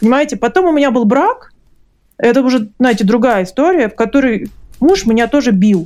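A woman speaks in a high voice with a dark, mellow tone, using lively intonation at a fairly quick pace. Her loudness stays very even, and long, frequent pauses break up her speech. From Russia. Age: 40s. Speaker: book publisher and author. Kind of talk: interview testimony.

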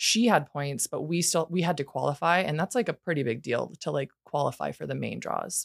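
A woman with an American accent speaks at a fairly quick pace with hardly any pauses, using a very deep, low pitch, vocal fry and lively intonation. The recording is very clean with a silent background, and the sound is dry and close with no echo. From Montana, Missoula. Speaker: volleyball player. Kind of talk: casual chat. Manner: animated.

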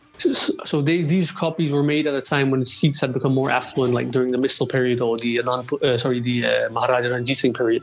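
A man at medium pitch, racing along at a very fast pace with hardly any pauses, very even loudness, fairly even intonation and noticeable background noise. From Denmark. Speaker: Sikh history researcher. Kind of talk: casual interview on history.

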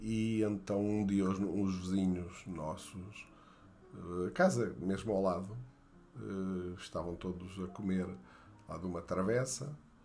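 The voice has a dark, mellow tone and a very slow pace with long, frequent pauses. Room echo is audible. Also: man. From Portugal, Beira Baixa (Fundão). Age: 60s. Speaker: storyteller recounting his childhood. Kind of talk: memoir narration. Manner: halting, many fillers.

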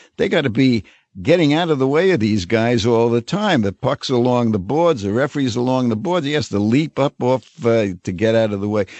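Lively intonation from a man talking at a fairly quick pace. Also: medium pitch for a man. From New York, Brooklyn. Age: 80s+. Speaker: hockey writer and commentator. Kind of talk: interview. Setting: studio.

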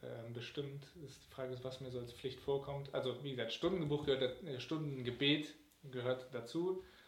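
A man at medium pitch and moderate pace, with fairly even intonation, big swings in loudness, audible room echo and noticeable background noise. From Germany, Cologne. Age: 20s. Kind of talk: interview.

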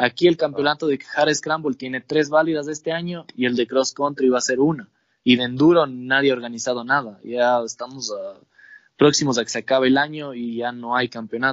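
An ordinary speaking voice, a man at medium pitch, with fairly even intonation and a fairly quick pace. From Ecuador, Imbabura (Ibarra / Atuntaqui). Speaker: motorcycle racer. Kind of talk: casual chat.

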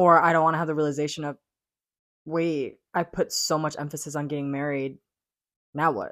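The speech is monotone and flat, at a fairly quick pace with long, frequent pauses. The recording is very clean, with a silent background. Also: woman, very deep, low pitch for a woman. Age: 20s. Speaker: podcast host. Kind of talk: casual chat.

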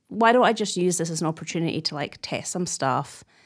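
A woman uses a plain, everyday voice at a medium pitch with ordinary pitch variation. The recording is very clean, with a silent background. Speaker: comedian. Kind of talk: casual chat. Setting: studio.

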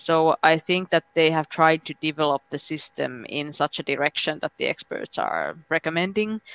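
With a Finnish accent, the speaker goes at a moderate pace with fairly even intonation and hardly any pauses, the sound dry and close with no echo. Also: woman, very deep, low pitch for a woman. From Finland. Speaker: member of European Parliament. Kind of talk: casual interview.

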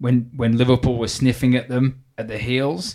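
A man's medium-pitched, monotone, flat delivery at a moderate pace on a very clean recording with a silent background. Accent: British. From UK. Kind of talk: casual banter. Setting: in the room studio.

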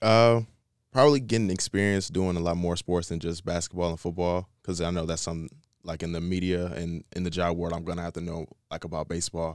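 Very deep and low, a man's voice comes through with an American accent at a very fast pace. The recording is very clean, with a silent background. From Michigan, US. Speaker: college student intern. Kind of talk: casual interview.

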